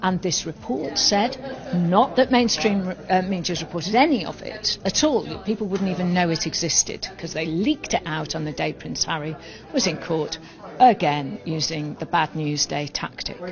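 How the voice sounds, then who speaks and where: Woman with a British accent, fairly low in pitch, lively intonation and a moderate pace, over noticeable background noise. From UK. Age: 60s. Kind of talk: interview. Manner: animated.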